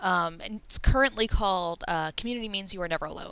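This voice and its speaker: A voice with an American accent rushes along at a very fast pace. Its tone is bright and sharp, with lively intonation. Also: woman. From New York. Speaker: online community member, interview guest. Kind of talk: casual chat.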